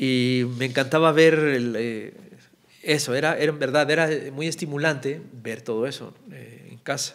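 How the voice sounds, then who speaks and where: A man talks at a fairly slow pace with fairly even intonation. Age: 40s. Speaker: political cartoonist; podcast guest. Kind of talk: casual chat. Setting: studio. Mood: relaxed, warm, smiling. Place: studio. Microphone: studio mic.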